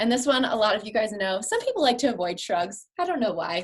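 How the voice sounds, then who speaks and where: A woman speaks with a fairly high pitch, a somewhat breathy sound, an animated tone, and lively intonation. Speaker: physical therapist. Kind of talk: live stream exercise tips. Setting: live video stream. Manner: fast.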